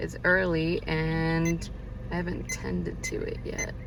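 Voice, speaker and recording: Audible room echo and noticeable background noise surround this woman as she talks. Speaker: video creator playing virtual pet toys. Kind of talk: casual vlog commentary. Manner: casual with many fillers.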